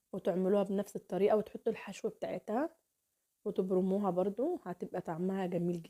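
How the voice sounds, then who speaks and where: A woman with an Egyptian accent talks at a moderate pace and a medium pitch, with ordinary pitch variation and big swings in loudness, in a dry, close sound with no echo. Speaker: cooking channel host. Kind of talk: cooking tutorial. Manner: warm, chatty.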